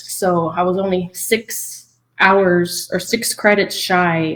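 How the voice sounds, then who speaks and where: This woman speaks with a South Texas accent. Her pitch is fairly low and her intonation fairly even. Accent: South Texas American English. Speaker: game developer and producer. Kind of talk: interview conversation. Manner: casual with many fillers.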